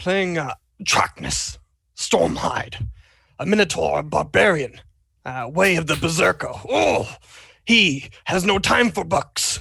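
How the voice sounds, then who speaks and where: Raspy and slow-paced, this put-on character voice moves along with long, frequent pauses. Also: man, high pitch for a man. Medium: actual play.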